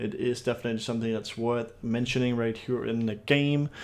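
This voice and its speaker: Fairly quick and in a flat monotone, a man speaks at a medium pitch with a Danish accent. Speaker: gaming YouTuber. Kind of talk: gameplay commentary.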